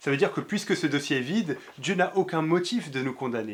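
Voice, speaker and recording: In a very clean recording with a silent background, a man speaks at a fairly quick pace. His voice is fairly high, with lively intonation. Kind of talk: religious teaching video. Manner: fast.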